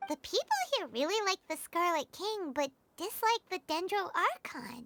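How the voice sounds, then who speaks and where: A squeaky put-on character voice at an extremely high pitch moves along at a moderate pace. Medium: video game.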